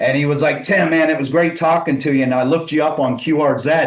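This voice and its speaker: A voice with an American accent speaks at a moderate pace. Room echo can be heard. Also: man. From northeast Ohio. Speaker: ham radio operator, presenter. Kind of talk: club presentation, casual talk. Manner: conversational, anecdotal.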